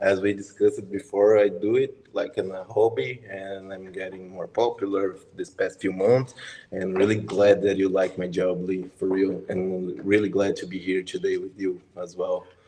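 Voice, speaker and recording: Speaking with a Brazilian accent at a moderate pace, a man barely pauses while his loudness swings widely. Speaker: biologist and macro photographer. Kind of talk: interview on live stream. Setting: YouTube live stream.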